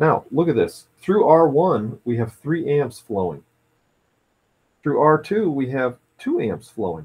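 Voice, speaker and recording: A man with a fairly high pitch and an unremarkable speaking voice talks at a fairly slow pace. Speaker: physics teacher. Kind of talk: tutorial.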